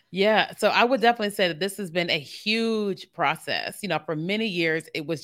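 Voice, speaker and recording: In a very clean recording with a silent background, a woman uses a normal speaking voice at a moderate pace with ordinary pitch variation. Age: 40s. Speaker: marketing consultant and entrepreneur. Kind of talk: casual interview. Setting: recorded video podcast streamed live.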